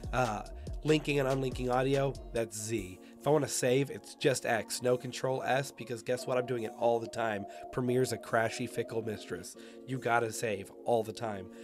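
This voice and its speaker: A man's medium-pitched voice keeps fairly even intonation while background music plays. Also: moderate pace. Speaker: video editor. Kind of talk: tutorial talk to camera.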